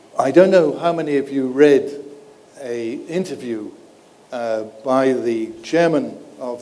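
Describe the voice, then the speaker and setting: A man with a non-native accent speaks at a fairly slow pace and medium pitch. His pitch varies in an ordinary way, and audible room echo surrounds him. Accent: non-South African, audibly foreign. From Europe. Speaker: privacy expert. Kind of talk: panel discussion.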